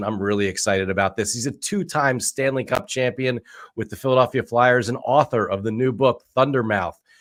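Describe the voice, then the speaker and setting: This is a man with a medium-pitched, ordinary speaking voice and ordinary pitch variation. The recording is very clean, with a silent background. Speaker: venture capitalist, show host. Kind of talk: podcast interview host.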